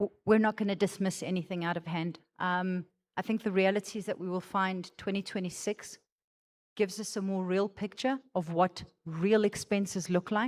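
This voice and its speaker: A woman with a plain, everyday voice speaks at a moderate pace and medium pitch, with fairly even intonation. The sound is dry and close with no echo, on a very clean recording with a silent background. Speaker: finance executive presenting budget. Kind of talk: budget presentation and Q&A at member meeting.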